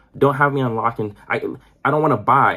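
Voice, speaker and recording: At a very fast pace, a man talks at a medium pitch. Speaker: gaming YouTuber. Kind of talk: casual rant to camera. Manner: animated.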